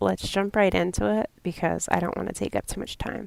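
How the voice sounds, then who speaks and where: A woman speaks with a New England accent. The sound is dry and close with no echo, a very clean recording with a silent background. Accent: New England, self-described as terrible. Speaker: true crime podcaster. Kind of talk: podcast narration.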